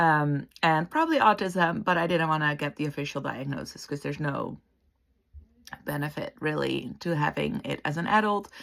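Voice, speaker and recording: Moderately paced, a woman talks with a Dutch accent. Her pitch is very deep and low. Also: ordinary pitch variation, very clean recording, silent background. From Netherlands. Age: 40s. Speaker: interior designer and counsellor. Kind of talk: casual vlog introduction.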